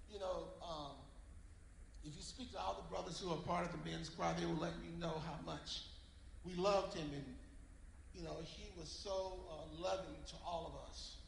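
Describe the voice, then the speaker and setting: A man with an American accent at a moderate pace, with long, frequent pauses and noticeable background noise. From US South, Georgia. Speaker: church member. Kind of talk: eulogy tribute. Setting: church.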